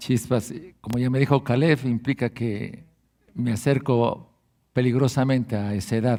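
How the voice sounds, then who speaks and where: In a very clean recording with a silent background, a man speaks at a medium pitch with a dark, mellow tone and fairly even intonation. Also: fairly slow pace. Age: 70s. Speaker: guest pastor and preacher. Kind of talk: sermon. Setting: church service.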